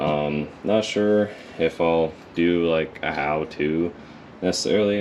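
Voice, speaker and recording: Noticeable background noise is present in the recording. The man's voice is very deep and low. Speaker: car hobbyist vlogger. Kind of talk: casual vlog. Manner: monotone; hesitant, many fillers.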